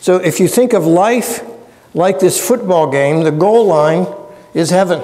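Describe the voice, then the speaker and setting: In an American accent, the voice keeps a fairly slow pace, very even loudness and ordinary pitch variation. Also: man, high pitch for a man. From US, Pennsylvania. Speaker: theology professor. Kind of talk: lecture. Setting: church with audience. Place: church. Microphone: lapel.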